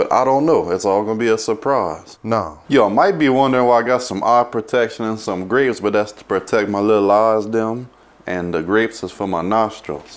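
A man with an American accent, at a moderate pace, with ordinary pitch variation. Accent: Cajun. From Louisiana, USA. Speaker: cook and show host. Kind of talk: comedic cooking show talk to camera. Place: kitchen.

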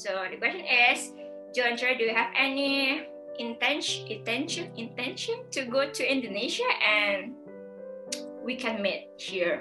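Clear music plays in the background. A woman speaks at a very slow pace. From Indonesia. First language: not English. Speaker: video host interviewing a guest. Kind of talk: casual, non-native grammar. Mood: cheerful, laughing. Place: home room.

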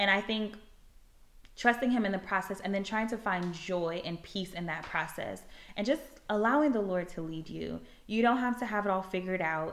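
A woman at medium pitch with an American accent, ordinary pitch variation and a moderate pace. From US South. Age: 20s. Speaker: campus minister and YouTuber; campus minister, YouTuber. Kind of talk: casual vlog monologue, personal testimony. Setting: at home. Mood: earnest, reflective testimony. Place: home room. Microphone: phone near.

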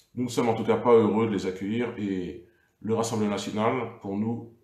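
A man's somewhat breathy, fairly low voice, monotone and flat, with audible room echo over a quiet background. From France. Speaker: local politician. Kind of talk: political livestream monologue. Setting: Facebook live video. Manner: hesitant, many fillers. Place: home room. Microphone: webcam.

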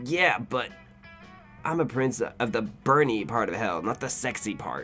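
Over clear background music, a man projects a raised, put-on character voice at medium pitch. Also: moderate pace. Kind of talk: comic video game dialogue reading. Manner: gruff, blunt, bored menace.

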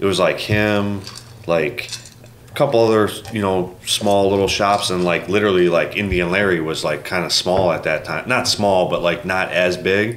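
Fairly low-pitched male voice with an American accent, moderate pace and fairly even intonation, plus noticeable background noise. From US Midwest. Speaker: custom motorcycle builder. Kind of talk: casual chat.

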